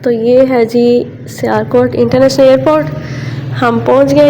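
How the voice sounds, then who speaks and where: Amid noticeable background noise and audible room echo, a woman with a fairly high pitch speaks at a fairly slow pace with lively intonation. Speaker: vlogger. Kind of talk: casual vlog. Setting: outdoors and in airport.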